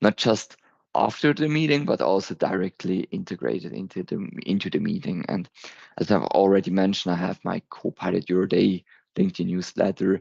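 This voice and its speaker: A man with a German accent, a very deep, low pitch, vocal fry and very wide pitch swings at a fairly quick pace, in a dry, close sound with no echo and a quiet background. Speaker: tech presenter. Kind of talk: conference presentation. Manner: halting, with fillers.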